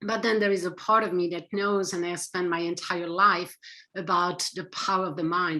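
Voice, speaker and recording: With a French accent, a woman of medium pitch speaks at a moderate pace in a bright, sharp tone with fairly even intonation. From France. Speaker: psychotherapist and author. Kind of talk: interview.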